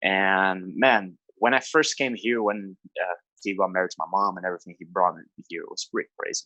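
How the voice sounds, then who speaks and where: With a Brazilian Portuguese accent, a man speaks at a fairly quick pace in a bright, sharp tone, ordinary pitch variation and a dry, close sound with no echo. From Brazil, Rio de Janeiro state. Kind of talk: podcast interview. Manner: casual, halting with fillers.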